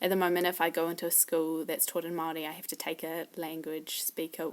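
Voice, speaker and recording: Fairly quick and monotone, a woman in a New Zealand accent speaks with flat intonation at a fairly low pitch. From New Zealand, Wellington. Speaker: language learner. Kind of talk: casual self-introduction video. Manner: hesitant, many fillers.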